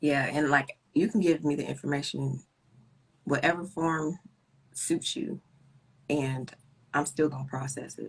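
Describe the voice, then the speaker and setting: Soft-spoken and very deep in pitch, a woman with an American accent talks at a fairly slow pace with vocal fry, fairly even intonation and long, frequent pauses. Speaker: guest with chronic illness. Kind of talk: casual chat. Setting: live stream video call.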